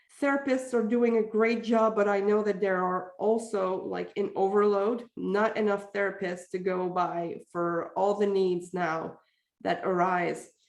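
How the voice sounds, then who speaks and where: The speaker has a Quebec French accent and fairly even intonation. The pace is fairly slow. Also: woman, medium pitch for a woman. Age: 40s. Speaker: parenting communication coach. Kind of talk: podcast interview.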